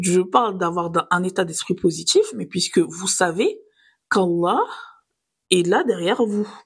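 Somewhat breathy and at a fairly slow pace, the speaker uses ordinary pitch variation and long, frequent pauses in a very clean recording with a silent background. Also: woman, medium pitch for a woman. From southern France, Nice. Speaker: podcast host. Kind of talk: scripted religious reflection podcast.

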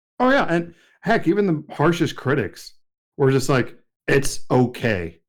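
Fairly slow and fairly high-pitched, a man speaks with an American accent and vocal fry. His pitch swings very widely while his loudness stays very even. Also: very clean recording, silent background. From Odessa, Texas. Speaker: podcast co-host. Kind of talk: casual chat.

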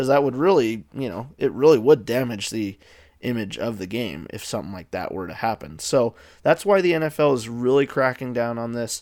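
On a very clean recording with a silent background, an unremarkable speaking voice goes at a fairly quick pace, with lively intonation and big swings in loudness. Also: man, medium pitch for a man. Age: 20s. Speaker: sports podcast host. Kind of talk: solo podcast commentary. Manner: casual, with filler words.

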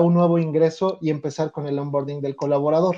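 A man speaks in a Mexico City accent. His tone is dark and mellow. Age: 30s. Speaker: organizational development consultant. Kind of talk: interview. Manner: hesitant, many fillers.

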